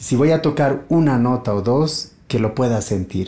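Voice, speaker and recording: With a dark, mellow tone, a man speaks at a fairly slow pace and with ordinary pitch variation. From Bolivia, partly raised in Buenos Aires. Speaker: multi-instrumentalist musician and luthier; guest. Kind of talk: casual interview. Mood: calm, reflective. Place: home room.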